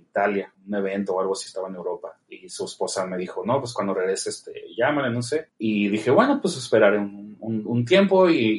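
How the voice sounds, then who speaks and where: A man speaks with hardly any pauses. His loudness swings widely from moment to moment. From Mexico, Tijuana. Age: 30s. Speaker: film director. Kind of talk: interview.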